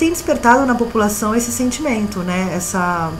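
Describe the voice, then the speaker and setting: Speech in a Brazilian accent moves at a moderate pace with lively intonation. Noticeable background noise can be heard. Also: woman. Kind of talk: interview answer.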